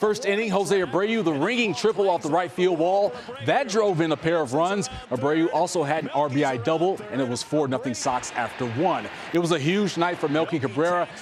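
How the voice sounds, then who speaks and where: Over noticeable background noise, a man talks at a fairly quick pace in an upbeat, energetic tone, high pitched with lively intonation. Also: very even loudness. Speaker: sports anchor and reporter. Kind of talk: sports broadcast reporting.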